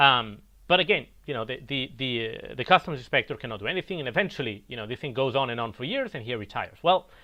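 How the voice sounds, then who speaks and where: A man talks at a very fast pace with hardly any pauses, his pitch medium and his intonation lively. His loudness swings widely. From Italy. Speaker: crypto investor and former trader. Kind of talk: online presentation; interview answer. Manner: halting, many fillers.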